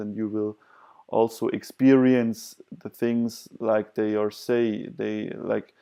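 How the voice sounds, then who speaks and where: At a fairly slow pace, a man with a dark, mellow tone talks at a medium pitch in a flat, monotone delivery. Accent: non-native. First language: not English. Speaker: vlogger sharing personal experience. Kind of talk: self-help talk to camera. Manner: hesitant, many fillers.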